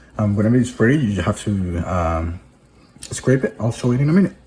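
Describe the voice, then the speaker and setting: A man with a Spanish accent and very wide pitch swings. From Venezuela. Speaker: hobby video host. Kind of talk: tutorial. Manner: halting, with fillers and restarts.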